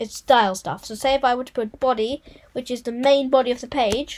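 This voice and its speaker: A woman speaks with a high pitch. Her pace is fairly quick. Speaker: coding tutorial youtuber. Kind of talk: tutorial.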